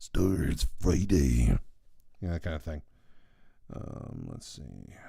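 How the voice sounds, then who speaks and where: A man's very deep, low, dark and mellow voice with vocal fry, in a relaxed tone at a very slow pace, with big swings in loudness. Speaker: artist streaming live drawing. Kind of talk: casual live stream chat. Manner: relaxed, filler-heavy. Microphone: new microphone picking up low end.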